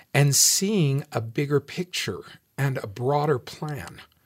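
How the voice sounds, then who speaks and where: In a very clean recording with a silent background, a man speaks very slowly and somewhat breathily, with lively intonation. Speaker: respondent on listener panel. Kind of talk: panel discussion response.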